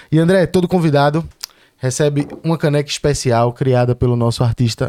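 Fairly high in pitch yet dark and mellow in tone, a man speaks at a moderate pace with ordinary pitch variation and very even loudness. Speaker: podcast host. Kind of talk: casual interview chat; sponsor read. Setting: studio.

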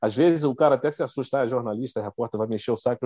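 A man with a dark, mellow tone and medium pitch speaks in a dry, close recording with no echo and a quiet background. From Rio de Janeiro state, Brazil (Duque de Caxias). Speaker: TV journalist and news anchor. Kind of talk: casual interview chat. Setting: live video stream.

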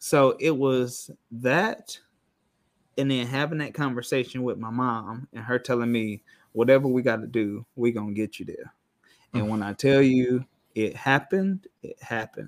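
A man with an American accent speaks in an ordinary speaking voice at medium pitch and a moderate pace, with big swings in loudness, in a very clean recording with a silent background and a dry, close sound with no echo. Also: ordinary pitch variation. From Rockford, Illinois (US Midwest). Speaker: podcast guest. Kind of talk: casual chat.

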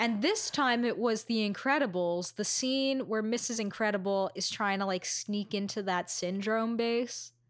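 A woman's normal speaking voice with an American accent, fairly high in pitch, ordinary pitch variation, a moderate pace and hardly any pauses. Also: very even loudness. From Astoria, Queens, New York City. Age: 20s. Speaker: podcast co-host. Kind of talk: casual chat.

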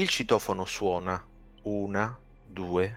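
On a very clean recording with a silent background, a man's bright, sharp tone sits at a fairly low pitch with fairly even intonation. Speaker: game keeper and author of the adventure. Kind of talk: tabletop roleplaying game audio drama, scene description.

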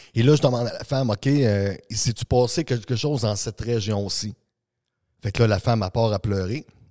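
Recorded very cleanly against a silent background, with a dry, close sound and no echo, a man talks at a moderate pace in a dark, mellow tone at medium pitch with ordinary pitch variation. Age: 40s. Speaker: energy coach and speaker. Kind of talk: casual interview. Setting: studio.

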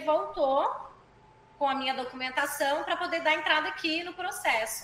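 In a raised, projected voice with fairly even intonation, a woman speaks at a moderate pace amid noticeable background noise and audible room echo. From Goiânia, Brazil. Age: 20s. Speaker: physical education teacher. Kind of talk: casual interview.

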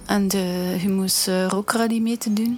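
A monotone, flat delivery in a Flemish accent. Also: woman. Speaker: singer in a band. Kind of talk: interview answers.

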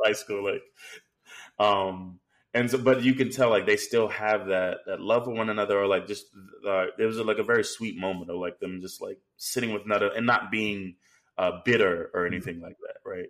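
Big swings in loudness from a man talking at a fairly quick speed. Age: 30s. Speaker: movie review podcast co-host. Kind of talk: casual chat. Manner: halting, many fillers.

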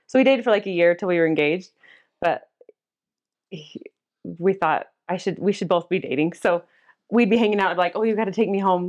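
A woman with a Utah accent speaks at a fairly quick pace, broken by long, frequent pauses. Her pitch is medium with ordinary variation, and the background is quiet. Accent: Utah American. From Cottonwood Heights, Utah. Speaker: church member and mother. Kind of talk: casual interview about faith. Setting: at home.

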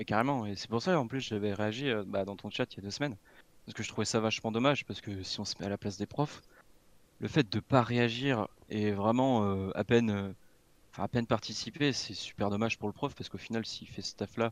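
With a normal speaking voice, a man talks at a fairly quick pace and medium pitch with ordinary pitch variation, in a very clean recording with a silent background and a dry, close sound with no echo. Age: 20s. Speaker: computing apprentice student. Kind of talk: casual interview.

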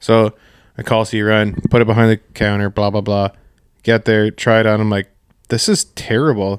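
In a very clean recording with a silent background and a dry, close sound with no echo, a man with a fairly low pitch speaks at a moderate pace in a monotone, flat delivery. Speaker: fishing podcast co-host. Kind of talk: casual chat.

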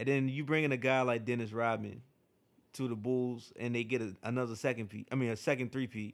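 A man at a medium pitch, fairly quick in pace, with fairly even intonation. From Eastern Shore of Virginia. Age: young. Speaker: musician. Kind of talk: casual chat.

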